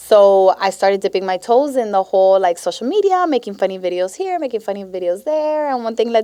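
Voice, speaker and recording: A woman speaks at a fairly quick pace with a Miami accent. Her tone is dark and mellow. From Miami, Florida (Westchester). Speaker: teacher and social media creator. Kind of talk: casual chat. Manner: animated.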